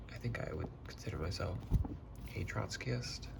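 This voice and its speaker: Over noticeable background noise, a soft-spoken man with a very deep, low pitch moves through very wide pitch swings at a moderate pace. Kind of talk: ASMR soft-spoken casual talk to camera about books. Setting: typical close-mic ASMR recording at home.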